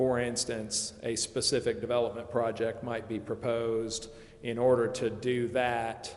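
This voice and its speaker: Speaking at a fairly slow pace, a man with a medium-pitched voice talks in a flat monotone, and room echo is audible. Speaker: municipal finance consultant. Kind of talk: public meeting presentation. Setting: council chambers. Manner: loud.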